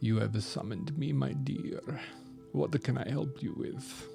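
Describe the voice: A man in a put-on character voice, fairly slow pace, clear music in the background. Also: fairly low pitch for a man.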